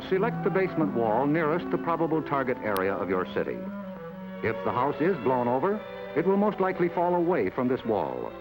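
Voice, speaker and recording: With music in the background, a man with an American accent speaks at medium pitch, his loudness very even while his pitch swings very widely. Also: fairly quick pace. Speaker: narrator. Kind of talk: government educational film narration. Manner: authoritative, measured.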